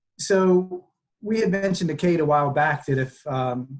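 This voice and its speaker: A somewhat breathy man's voice with an American accent and ordinary pitch variation. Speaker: environmental website co-founder, former journalist. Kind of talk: online presentation. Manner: fast when excited; animated.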